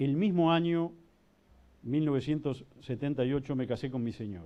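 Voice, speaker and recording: A man speaks at a moderate pace in an unremarkable speaking voice. His pitch is fairly high, with ordinary pitch variation. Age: 60s. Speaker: judge. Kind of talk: panel talk.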